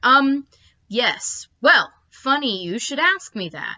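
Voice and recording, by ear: This put-on character voice has a bright, sharp tone and big pitch swings. It moves at a slow pace. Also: woman, high pitch for a woman.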